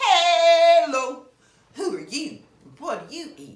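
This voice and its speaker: The speaker uses a put-on character voice. An audible echo surrounds the sound. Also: woman. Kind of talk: bedtime story. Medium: read story.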